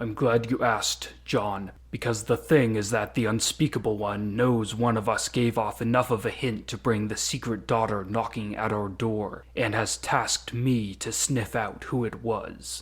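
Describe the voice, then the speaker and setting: In a put-on character voice, a man talks at a medium pitch and moderate pace with fairly even intonation. He hardly pauses at all. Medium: audio drama. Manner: cold, authoritative.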